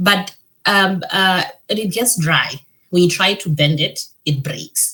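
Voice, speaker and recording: Her voice sits at a fairly low pitch for a woman and shows ordinary pitch variation. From Botswana. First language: Setswana. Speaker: financial education founder and meteorologist. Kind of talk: podcast interview. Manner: hesitant, many fillers and repetitions.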